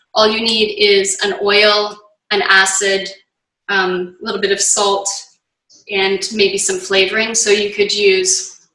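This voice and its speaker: A woman speaks very slowly at a medium pitch, her intonation flat and monotone, with audible room echo. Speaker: nutrition and yoga cancer coach. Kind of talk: online cooking class. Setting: home kitchen, video call.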